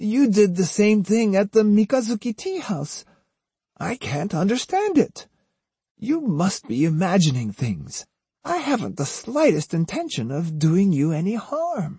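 A man does a put-on character voice, high-pitched yet dark and mellow in tone, with a husky, rough edge. He moves at a fairly slow pace with big pitch swings.

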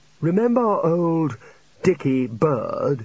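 Here a man puts on a character voice at a slow pace. It sits fairly high, with big pitch swings and a slightly mellow tone.

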